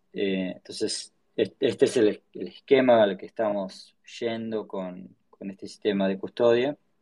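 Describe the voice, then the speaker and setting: Fairly slow and fairly low, a man's voice has a dark, mellow tone, fairly even intonation and big swings in loudness. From Argentina, Patagonia (Choele Choel, Río Negro). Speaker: tech startup founder. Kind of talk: casual interview. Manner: halting, many repetitions and fillers.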